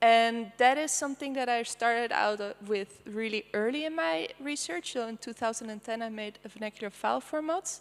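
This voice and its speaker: A woman speaks with a Dutch accent at a fairly high pitch and a fairly quick pace. Her pitch varies in an ordinary way, and she hardly pauses. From Netherlands. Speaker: artist. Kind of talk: presentation. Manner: casual with many fillers.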